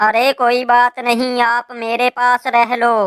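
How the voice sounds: A female-sounding cartoonish character voice, high in pitch, flat and monotone, at a fairly slow pace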